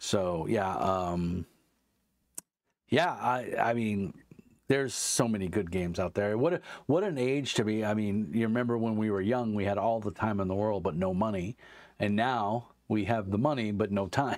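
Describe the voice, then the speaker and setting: An unremarkable speaking voice from a man with an American accent, fairly low in pitch, at a moderate pace with ordinary pitch variation. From US, New York (Brooklyn). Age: 50s. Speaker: tabletop game designer and author. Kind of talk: casual chat.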